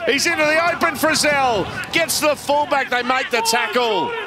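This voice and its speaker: Over noticeable background noise, a man speaks in a raised, projected voice with an animated tone. His pitch is extremely high, with ordinary variation. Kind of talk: sports commentary. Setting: stadium broadcast commentary. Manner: animated, breathless delivery.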